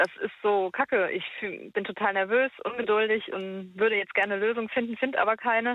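The speaker moves at a fairly quick pace. Intonation stays fairly even. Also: woman, fairly high pitch for a woman. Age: 20s. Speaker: caller. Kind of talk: phone-in conversation. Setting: phone call. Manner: halting.

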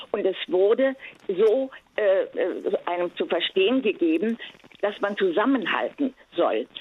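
A woman speaks at a fairly slow pace in a fairly high voice, her pitch swinging very widely, with long, frequent pauses. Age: 80s+. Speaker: caller. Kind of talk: casual chat. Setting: phone call. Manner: halting.

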